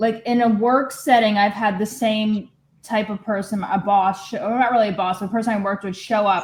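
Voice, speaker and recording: With a plain, everyday voice, a woman talks at a fairly quick pace at a medium pitch with ordinary pitch variation. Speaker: group participant. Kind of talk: casual chat.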